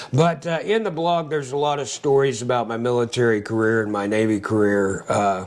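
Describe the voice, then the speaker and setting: A man's medium-pitched voice, fairly quick with hardly any pauses and lively intonation, over noticeable background noise. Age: 60s. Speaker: Navy veteran and angler. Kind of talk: casual chat. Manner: hesitant, many filler words.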